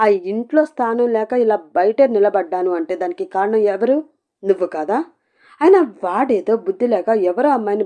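With lively intonation, someone reads aloud in a natural voice over a quiet background.

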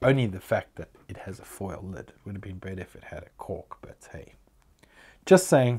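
His pitch is fairly low and his tone dark and mellow, somewhat breathy. The man speaks at a moderate pace with lively intonation and big swings in loudness. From South Africa. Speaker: whisky reviewer YouTuber. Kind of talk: product review. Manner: casual, chatty. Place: home room. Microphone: lapel.

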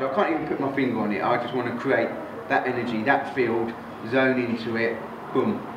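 There is noticeable background noise. A man is talking. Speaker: bodybuilding coach. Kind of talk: casual motivational talk. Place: gym. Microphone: camera far.

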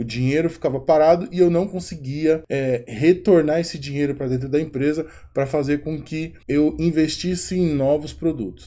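At a moderate pace, a man speaks with a fairly high pitch, a dark, mellow tone and ordinary pitch variation. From Brazil. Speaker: company founder presenting his platform. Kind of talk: promotional explainer video. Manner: informal, conversational. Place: home room. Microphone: webcam.

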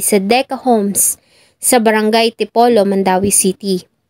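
A woman speaks in a plain, everyday voice at a moderate pace with ordinary pitch variation. The recording is very clean, with a silent background and a dry, close sound with no echo. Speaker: true crime narrator. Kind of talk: true-crime narration. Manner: formal, somber storytelling; measured, polite.

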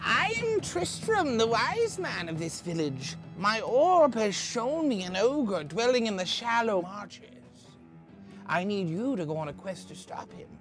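A man talks in a put-on character voice, pitched high, at a moderate pace. Clear music plays in the background. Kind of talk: grand fantasy storytelling. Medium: comedy sketch. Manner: solemn, portentous.

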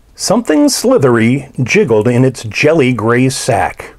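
The speaker does plain reading aloud.

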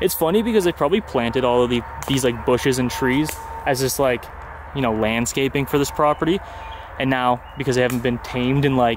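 A man at a fairly quick pace, with very even loudness and ordinary pitch variation, in a dry sound with no echo over noticeable background noise. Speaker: urban explorer vlogger. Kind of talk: casual vlog chat. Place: garden. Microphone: phone near.

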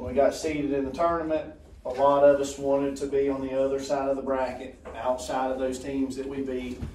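A man's monotone, flat delivery, with light background noise and audible room echo. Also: fairly quick pace. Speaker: middle school basketball coach. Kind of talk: informal remarks at meeting. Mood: proud, relaxed. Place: meeting room. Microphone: camera far.

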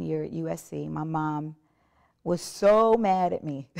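The speech moves at a very slow pace. The background stays quiet. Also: woman. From South Carolina. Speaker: gospel worship singer. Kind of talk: testimony. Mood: earnest, reflective. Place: studio. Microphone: lapel.

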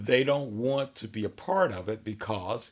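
In a quiet background, a man speaks at a fairly slow pace. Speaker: minister. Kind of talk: sermon. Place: office.

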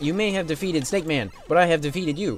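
This put-on character voice sits at a middle pitch and races along at a very fast pace. Background noise is clearly audible. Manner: menacing, gloating.

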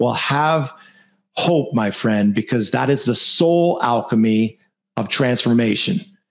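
A man with an energetic tone and lively intonation, at a fairly slow pace and very even loudness, over a quiet background. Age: 40s. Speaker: podcast host and mortgage marketing coach; podcast host, mortgage marketing coach. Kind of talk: motivational coaching monologue. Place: home room. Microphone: studio mic.

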